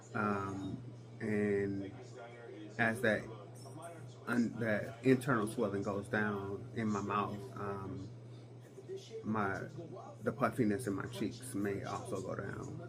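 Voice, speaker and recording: A man speaks at a very slow pace in a flat monotone. Long, frequent pauses sit over noticeable background noise. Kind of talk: casual talk to camera.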